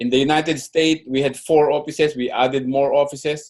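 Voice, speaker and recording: A man is speaking. His pace is moderate. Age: 60s. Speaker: network marketing distributor. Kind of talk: training presentation. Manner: halting.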